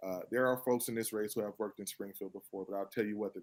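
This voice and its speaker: Very fast pace and monotone, flat intonation, in a Chicago accent. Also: man. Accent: Chicago, US Midwest. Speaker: mayoral candidate and state legislator. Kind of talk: political interview. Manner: many fillers and repetitions. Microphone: too quiet, far from the camera.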